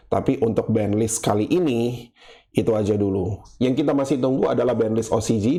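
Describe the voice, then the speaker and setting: A man's medium-pitched, dark, mellow voice with ordinary pitch variation. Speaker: gaming YouTuber. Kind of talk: casual monologue. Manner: casual, unscripted single take.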